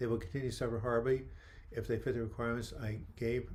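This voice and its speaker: A somewhat breathy man talks at a very fast pace with a medium pitch. The room echo is audible. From New York. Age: 70s. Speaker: mental health author and livestream host. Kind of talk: live video chat answering viewer questions. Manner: animated.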